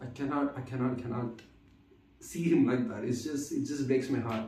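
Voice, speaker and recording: A man's voice swings very widely in pitch, heard with audible room echo and noticeable background noise. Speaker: vlogger. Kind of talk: casual monologue. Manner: halting, many fillers and repeats; stutters at times.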